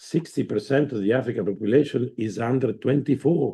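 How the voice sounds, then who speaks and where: A man's voice comes across somewhat breathy, with a dark, mellow tone. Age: 60s. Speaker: former president of the host committee. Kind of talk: conference speech. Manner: halting.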